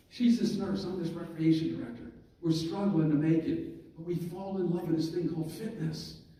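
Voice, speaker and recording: Noticeable background noise and audible room echo surround a man's voice. He speaks at a fairly quick pace in a high pitch. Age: 60s. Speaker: motivational speaker, fitness club founder. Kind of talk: banquet keynote speech. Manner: animated.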